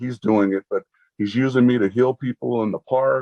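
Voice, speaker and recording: A man's medium-pitched voice at a fairly slow pace, with fairly even intonation. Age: 60s. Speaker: health program client, lay preacher. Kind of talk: testimony. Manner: halting, many repeated words.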